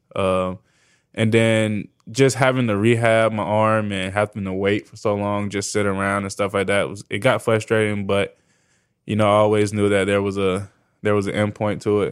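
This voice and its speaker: A man with an American accent speaks in a fairly low, monotone voice with flat intonation on a very clean recording with a silent background. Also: moderate pace. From Florida. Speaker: football player. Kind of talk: interview. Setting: studio.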